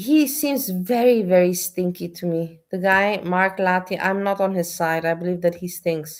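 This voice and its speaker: This woman speaks at a moderate pace with a non-native accent and hardly any pauses. Her pitch sits in the medium range and varies in an ordinary way. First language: not English. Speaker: streamer reacting to videos. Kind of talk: live stream commentary.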